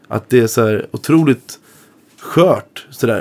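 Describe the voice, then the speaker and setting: A man speaks at a medium pitch with lively intonation and a dark, mellow tone. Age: 20s. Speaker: blues guitarist. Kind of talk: casual chat.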